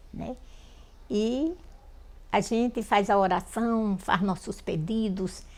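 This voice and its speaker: A woman is speaking. She goes at a very slow pace. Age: 70s. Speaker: folk prayer healer. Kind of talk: documentary interview, testimony.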